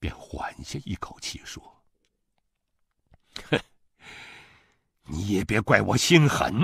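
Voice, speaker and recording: Whispering at a very slow pace with long, frequent pauses, a man's voice shows big swings in loudness in a dry, close sound with no echo. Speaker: voice actor. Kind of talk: audiobook novel reading.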